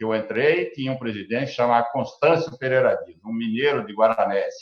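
A man talks at a fairly high pitch. Behind him, music plays. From Brazil, Paraná (born São Paulo state, moved very young). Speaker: agribusiness cooperative executive. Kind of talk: interview. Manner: halting, many repetitions.

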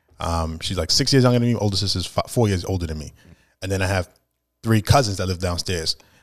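A man with a New York accent speaks at a very fast pace in a very deep, low pitch, with ordinary pitch variation, on a very clean recording with a silent background. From Brooklyn, New York (Flatbush). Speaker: rapper. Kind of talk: casual chat.

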